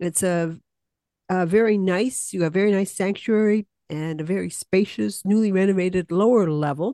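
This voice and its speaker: A woman's medium-pitched voice with a dark, mellow tone and ordinary pitch variation, at a moderate pace, the sound dry and close with no echo against a quiet background. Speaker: community podcast host. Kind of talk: casual interview.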